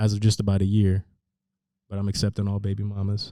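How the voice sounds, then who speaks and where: In a Northern California accent, a man speaks at a fairly quick pace with a dark, mellow tone, a fairly low pitch and monotone, flat intonation, in a dry, close sound with no echo. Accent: Northern California American. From San Francisco Bay Area, California. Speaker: rapper. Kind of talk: casual interview chat. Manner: hesitant, many fillers like 'like'.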